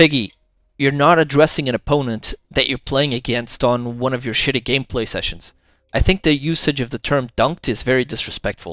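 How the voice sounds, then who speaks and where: A man with a non-native accent at a fairly quick pace, ordinary pitch variation, dry and close with no echo, on a very clean recording with a silent background. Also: medium pitch for a man. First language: not English. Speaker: commentary youtuber. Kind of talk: reaction commentary.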